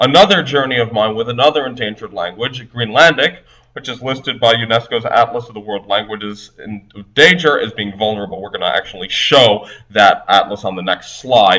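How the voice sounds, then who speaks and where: Talking in an ordinary speaking voice at a fairly quick pace, the speaker shows ordinary pitch variation and big swings in loudness. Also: man, medium pitch for a man. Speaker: polyglot language blogger. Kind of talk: conference presentation. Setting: recorded presentation video.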